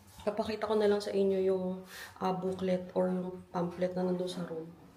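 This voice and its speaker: The delivery is fairly quick and flat in a monotone, with noticeable background noise and audible room echo. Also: woman. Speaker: travel vlogger. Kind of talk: travel vlog narration. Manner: casual.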